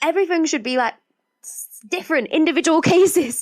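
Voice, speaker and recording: With a British accent, a woman speaks at a very fast pace. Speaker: podcast host. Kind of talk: casual podcast monologue. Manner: chatty, rambling.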